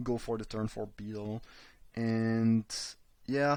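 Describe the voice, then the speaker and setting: A man with a non-native accent speaks in a very clean recording with a silent background. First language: not English. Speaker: card game streamer. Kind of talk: live gameplay commentary. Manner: halting, frequent repetitions.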